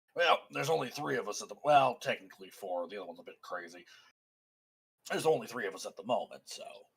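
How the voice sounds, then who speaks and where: Putting on a raspy character voice at a medium pitch, a man races along at a very fast pace. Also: big swings in loudness. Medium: actual play.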